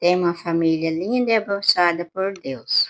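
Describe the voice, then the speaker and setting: A woman's bright, sharp tone at a fairly low pitch, with ordinary pitch variation. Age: 70s. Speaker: podcast guest, grandmother. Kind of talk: podcast interview.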